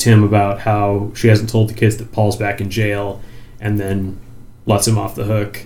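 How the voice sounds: The speaker uses a natural reading voice. Nothing else stands out.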